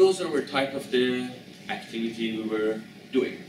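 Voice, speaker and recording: Noticeable background noise behind a man's moderate pace and ordinary pitch variation. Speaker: presenter. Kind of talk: lecture. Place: classroom. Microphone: camera far.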